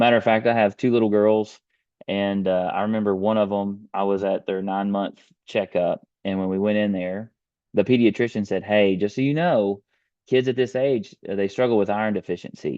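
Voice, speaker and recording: Using a Texan accent, a man speaks at a moderate pace in a fairly low pitch with fairly even intonation. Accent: Texas Southern US. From US South, rural East Texas. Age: 30s. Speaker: beef industry presenter. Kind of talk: webinar presentation. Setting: online webinar with screen share.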